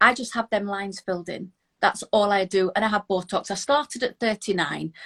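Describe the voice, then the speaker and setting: The speech has a British accent. It moves at a fairly quick pace with ordinary pitch variation. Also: woman, medium pitch for a woman. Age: 50s. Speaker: Instagram influencer. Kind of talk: casual interview.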